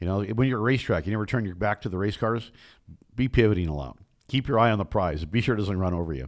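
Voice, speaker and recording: A man with a fairly low voice speaks in an animated tone. He goes at a very fast pace against a quiet background. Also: lively intonation. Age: 60s. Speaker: motorsport broadcaster and race car driver. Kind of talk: interview conversation.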